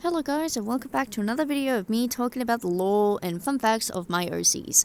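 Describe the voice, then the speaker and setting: A woman talks at a very fast pace with lively intonation. Her pitch is fairly high. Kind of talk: unscripted casual talk about original characters. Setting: mic held very close to mouth. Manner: hesitant, many filler words and self-corrections.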